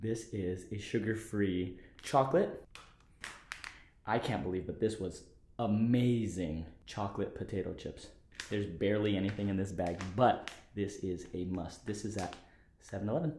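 A man's fairly low, dark and mellow voice, somewhat breathy, with ordinary pitch variation, long, frequent pauses, audible room echo and light background noise. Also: moderate pace. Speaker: car vlogger. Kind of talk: casual vlog chat. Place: home room. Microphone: phone near.

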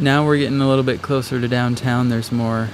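The speaker keeps a fairly even intonation, with noticeable background noise behind. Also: man. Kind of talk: casual vlog chat. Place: car. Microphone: phone near.

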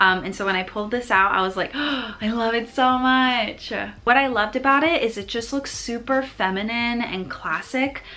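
A woman speaks at a fairly high pitch in a bright, sharp tone. She sounds animated and takes hardly any pauses. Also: ordinary pitch variation, moderate pace. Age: 20s. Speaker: lifestyle vlogger. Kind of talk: vlog haul, casual talk to camera. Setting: at home, filming to camera. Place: home room. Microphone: phone near.

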